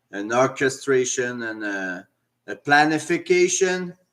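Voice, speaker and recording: At a very slow pace, a man with a Quebec accent speaks in a fairly high pitch and a bright, sharp tone. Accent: French Canadian accent in English. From French Canada. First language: French. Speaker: commentator sharing opinions. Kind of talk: personal opinion monologue. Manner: halting, many fillers.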